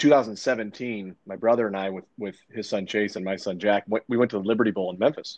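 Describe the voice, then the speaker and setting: In an ordinary speaking voice, a man with an American accent talks at a fairly quick pace with hardly any pauses, his pitch fairly low and his loudness swinging widely. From eastern Iowa, US Midwest. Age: 40s. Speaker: podcast host. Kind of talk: casual chat.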